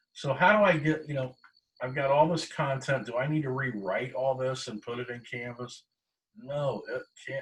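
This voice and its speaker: A man speaks at a moderate pace in a somewhat breathy voice of medium pitch. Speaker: college instructor. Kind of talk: online class lecture.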